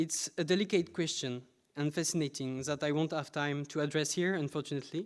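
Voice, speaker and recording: A man with a French accent, fairly high pitch, fairly even intonation and moderate pace, on a very clean recording with a silent background. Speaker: PhD researcher presenting. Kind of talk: conference talk. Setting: conference with audience.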